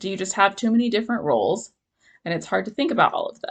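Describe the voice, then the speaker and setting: Her speech shows ordinary pitch variation. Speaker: ADHD support group organizer and vlogger. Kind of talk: casual talking-head advice vlog. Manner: fast; casual, filler-heavy.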